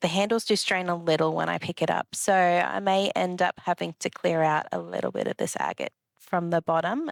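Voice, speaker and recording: A woman in an Australian accent, relaxed in tone, with fairly even intonation. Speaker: rock collecting vlogger. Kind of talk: casual vlog chat. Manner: relaxed, with fillers.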